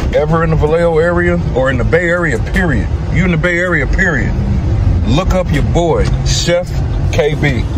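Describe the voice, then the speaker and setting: Noticeable background noise sits under this recording. A man talks at a fairly quick pace. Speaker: vlogger. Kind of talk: casual vlog chat. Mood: proud, emotional, warm. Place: car. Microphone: phone near.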